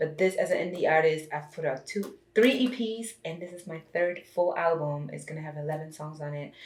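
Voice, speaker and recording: A woman with a fairly low, somewhat breathy voice speaks with hardly any pauses. Her pitch variation is ordinary, while her loudness swings widely. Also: fairly quick pace. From Germany. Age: 30s. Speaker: singer and reality TV personality. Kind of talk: podcast interview.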